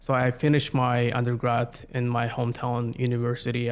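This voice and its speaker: Speaking with a Siberian accent, a man talks at a moderate pace and a medium pitch. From Russia, Yakutsk, Siberia. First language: Yakut. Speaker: community planner. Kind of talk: interview. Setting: podcast recording.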